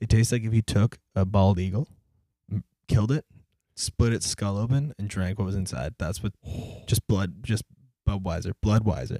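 This man has a dark, mellow tone at a fairly low pitch, with ordinary pitch variation. He keeps a moderate pace, with long pauses coming often. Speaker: podcast co-host. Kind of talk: casual chat. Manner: loud at times.

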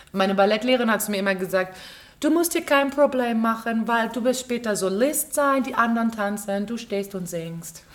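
Amid audible room echo, a woman speaks at a moderate pace with a fairly high pitch and ordinary pitch variation. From Berlin, Germany. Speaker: stage actress and musical performer. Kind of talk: casual interview chat. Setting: theater.

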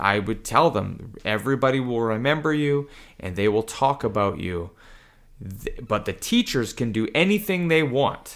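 On a very clean recording with a silent background, a man with a Canadian accent talks at a moderate pace with lively intonation. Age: 40s. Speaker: jujitsu instructor, former English teacher. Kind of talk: casual chat. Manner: high energy.

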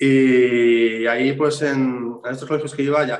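This is a man talking. He keeps a monotone, flat intonation throughout. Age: 40s. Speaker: tattoo artist. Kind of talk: interview. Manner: casual, repetitive false starts.

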